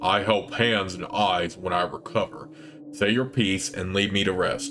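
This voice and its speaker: Putting on a character voice, a man uses a rumbling, fairly low tone over clear background noise. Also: moderate pace. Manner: weary, curt.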